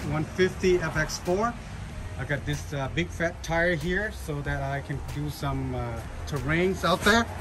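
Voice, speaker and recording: Talking at a fairly slow pace, a man is heard with noticeable background noise. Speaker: road trip vlogger. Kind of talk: casual vlog chat. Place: street. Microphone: phone near.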